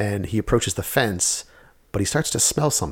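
A man's fairly low, somewhat breathy voice at a very fast pace. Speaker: podcast host. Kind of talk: casual chat. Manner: fast talker.

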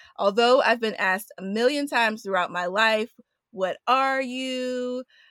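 A woman with a fairly high pitch and an American accent has a plain, everyday voice, speaking at a moderate pace with ordinary pitch variation in a dry, close sound with no echo on a very clean recording with a silent background. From Queens, New York. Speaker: podcast co-host. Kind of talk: casual chat.

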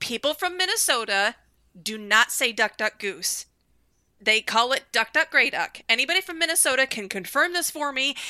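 Projecting a raised voice in a dry, close sound with no echo, a woman speaks at a moderate pace in a high pitch, her tone bright and sharp with very wide pitch swings. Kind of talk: casual chat. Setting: video call.

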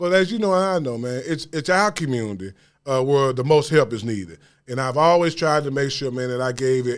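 Lively intonation marks this man's fairly high pitch, delivered at a fairly quick pace. It is a very clean recording with a silent background. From US South, Memphis. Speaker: former college basketball player, community leader. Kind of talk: interview.

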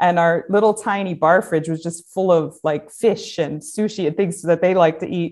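Against a quiet background, a woman with an American accent and an unremarkable speaking voice talks at a moderate pace with hardly any pauses, her pitch fairly low and her intonation fairly even. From upstate New York, US. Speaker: design professor and head of school. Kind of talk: casual interview.

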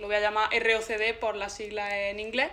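Here is a woman with a fairly high pitch. Her tone is bright and sharp. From Andalusia, Granada province (Zagra). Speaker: podcast guest. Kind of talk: casual chat.

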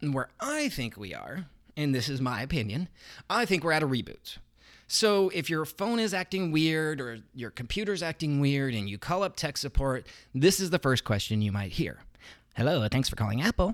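On a very clean recording with a silent background, a man speaks with an American accent. His fairly high voice moves in very wide pitch swings. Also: moderate pace. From Idaho, US. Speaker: podcast host. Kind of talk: personal monologue.

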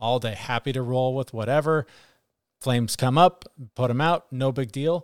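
At a moderate pace and with ordinary pitch variation, it is a plain, everyday voice on a very clean recording with a silent background and a dry, close sound with no echo. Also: man. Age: 40s. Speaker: podcast co-host. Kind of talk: casual chat.

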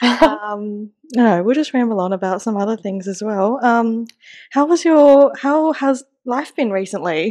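With an Australian accent, a woman speaks at a fairly slow pace in a fairly high pitch, her tone dark and mellow and her intonation lively. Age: 20s. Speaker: podcast host. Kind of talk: casual chat.

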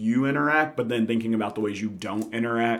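An unremarkable speaking voice from a man with an American accent, medium-pitched and at a fairly quick pace. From Memphis, Tennessee (US South). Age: 30s. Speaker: musician, trombone player. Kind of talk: casual chat.

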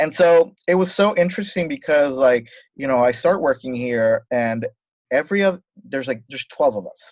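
An ordinary speaking voice from a man, fairly high in pitch, with lively intonation, a moderate pace and a dry, close sound with no echo. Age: 30s. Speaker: fashion designer. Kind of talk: casual chat.

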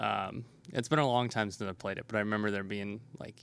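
A man's normal speaking voice, fairly low in pitch with ordinary pitch variation, in a very clean recording with a silent background. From Nebraska. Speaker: game store owner. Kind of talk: interview. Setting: in a game store.

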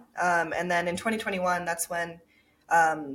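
A woman with an American accent has a normal speaking voice, fairly low in pitch, and talks at a fairly quick pace. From Japan and Minnesota. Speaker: startup founder and CEO. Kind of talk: interview.

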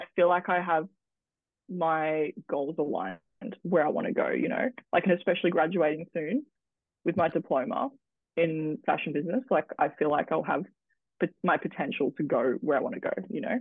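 Delivered at a moderate pace with ordinary pitch variation, the speech has long, frequent pauses. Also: woman, fairly low pitch for a woman. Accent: Australian. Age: 20s. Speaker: model and social media content creator. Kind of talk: casual interview chat.

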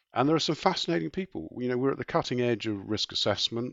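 This man speaks at a medium pitch with a southern English accent. His intonation is lively. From southeast England. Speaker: insurance executive. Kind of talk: interview.

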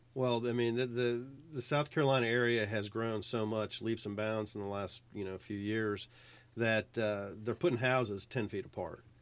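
Speaking in an unremarkable speaking voice with an American accent, a man keeps a medium pitch, fairly even intonation and a moderate pace. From Virginia, military family moving across US states. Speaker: pool builder. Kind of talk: casual radio interview. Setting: radio studio.

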